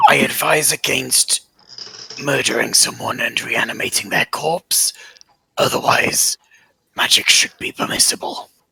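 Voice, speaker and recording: A man in a put-on character voice with long, frequent pauses. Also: moderate pace. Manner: creepy.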